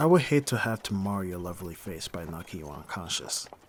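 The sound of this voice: Using a put-on character voice, a man speaks low in pitch with a slightly husky edge, big pitch swings, and a fairly quick pace.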